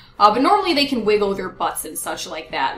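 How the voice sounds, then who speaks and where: A woman talks fairly quickly while noticeable noise runs in the background. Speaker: gaming YouTuber. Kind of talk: casual vlog chat. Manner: fast.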